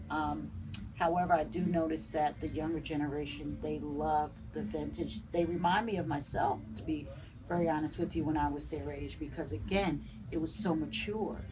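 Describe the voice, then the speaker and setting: In a room with audible echo, a woman with a northern US accent speaks at a moderate pace. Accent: northern US accent, still noticeable. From New Jersey. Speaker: vintage boutique owner. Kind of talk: interview. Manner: halting, many fillers.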